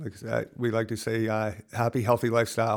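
A man with an American accent, medium pitch and a fairly quick pace, in a very clean recording with a silent background. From upstate New York, Lake George area. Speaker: nonprofit founder, recovery cycling. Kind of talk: interview. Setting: in person. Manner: halting, many fillers.

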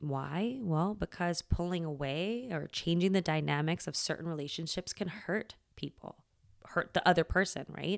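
A woman's normal speaking voice, fairly low in pitch with ordinary pitch variation, on a very clean recording with a silent background. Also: moderate pace. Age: 40s. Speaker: podcast host and self-care coach. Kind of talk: solo podcast monologue. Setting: at home. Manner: casual, laughs often.

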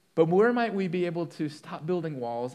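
A dark, mellow tone with audible room echo. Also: man. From moved around, partly Colorado. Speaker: pastor. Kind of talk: sermon.

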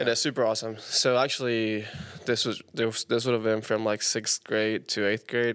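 Over a very clean recording with a silent background, a man with a Spanish accent speaks at a moderate pace in a flat monotone at medium pitch. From Panama. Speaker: musician. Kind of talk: casual chat.

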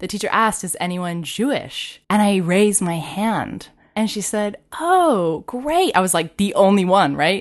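A woman's ordinary speaking voice at medium pitch, fairly slow in pace with lively intonation, over a quiet background. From Texas. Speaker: linguistics lecturer. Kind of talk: casual interview chat. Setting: in-studio in host's apartment.

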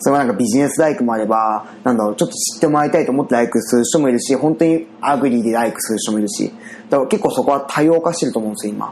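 A man talks at a very fast pace with lively intonation. Noticeable background noise runs beneath him. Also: medium pitch for a man. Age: 30s. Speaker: web company owner. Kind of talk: casual chat.

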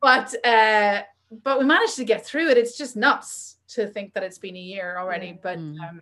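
Using a bright, sharp tone, a woman speaks at a moderate pace with a Northern Irish accent. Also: fairly high pitch for a woman, lively intonation. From Northern Ireland. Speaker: magazine editor and publisher. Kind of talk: casual chat.

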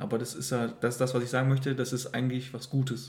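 The dark, mellow tone comes with audible room echo. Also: man. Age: 20s. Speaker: host's partner. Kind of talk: casual chat.

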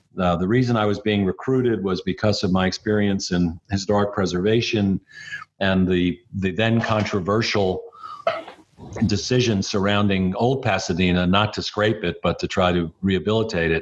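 A man with a fairly low pitch speaks at a moderate pace, keeping both his intonation fairly even and his loudness very even. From New York, Brooklyn. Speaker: city mayor. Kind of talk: interview.

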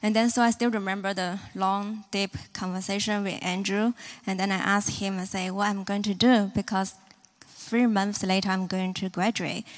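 In a Hong Kong accent, a woman speaks at a moderate pace and medium pitch, her intonation monotone and flat. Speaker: church member. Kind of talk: testimony.

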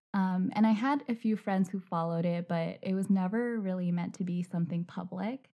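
With a dark, mellow tone and a somewhat breathy quality, a woman speaks at a medium pitch with ordinary variation, at a fairly quick pace with hardly any pauses. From China. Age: 20s. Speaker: podcast host and mental health blogger. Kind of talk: casual interview.

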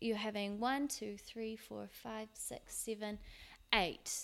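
A woman speaks in a New Zealand accent. Her pace is fairly slow. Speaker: podcast host. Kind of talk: casual solo podcast talk. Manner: casual, with frequent fillers; laughs now and then.

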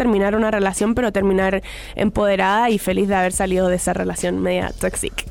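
A woman's medium-pitched, monotone voice at a moderate pace, with flat intonation and noticeable background noise. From Chile. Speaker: pop singer. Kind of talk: interview. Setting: radio studio.

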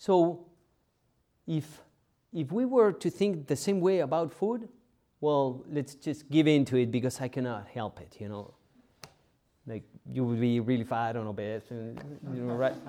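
A man's medium-pitched voice with a dark, mellow tone and a non-native accent, lively in intonation, at a moderate pace, with long, frequent pauses and big swings in loudness. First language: not English. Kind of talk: homily. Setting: church. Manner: halting.

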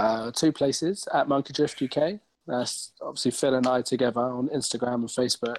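A man's ordinary speaking voice, medium in pitch, at a fairly quick pace with ordinary pitch variation and a dry, close sound with no echo. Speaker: racing driver. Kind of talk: casual chat.

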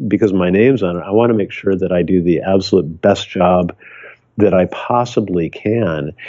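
A man with an American accent and a plain, everyday voice, fairly low in pitch, at a moderate pace with ordinary pitch variation. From US Midwest. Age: 60s. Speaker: photographer. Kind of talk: casual interview.

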